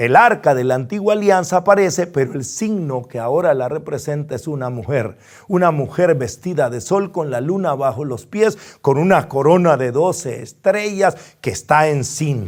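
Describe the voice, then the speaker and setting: Lively intonation marks a normal speaking voice at a fairly slow pace. The recording is very clean, with a silent background. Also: man. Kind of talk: bible study lecture.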